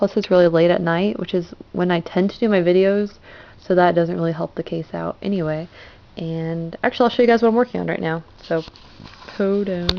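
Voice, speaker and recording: A woman speaks at a fairly quick pace in a plain, everyday voice, fairly low in pitch with ordinary pitch variation. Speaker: crafting vlogger. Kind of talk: casual vlog.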